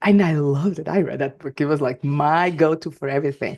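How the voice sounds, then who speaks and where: Against a quiet background, a woman speaks with a Portuguese accent in a very deep, low voice with ordinary pitch variation. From Portugal. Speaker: life and work coach, podcast host. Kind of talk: solo podcast monologue. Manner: energetic; halting, many fillers and restarts.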